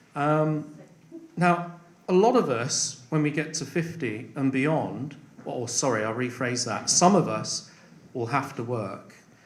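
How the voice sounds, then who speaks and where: Noticeable background noise and audible room echo surround this recording. A man speaks at a fairly slow pace with a fairly high pitch. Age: 50s. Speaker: election candidate. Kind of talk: hustings answer. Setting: parish hall with audience. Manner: halting, many fillers.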